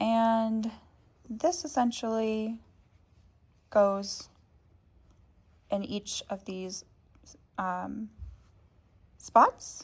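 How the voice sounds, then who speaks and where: Fairly high in pitch with ordinary variation, a woman speaks at a very slow pace, somewhat breathy. Her loudness swings widely, and she leaves long, frequent pauses. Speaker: crochet tutorial creator. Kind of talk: tutorial. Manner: casual, many filler ums.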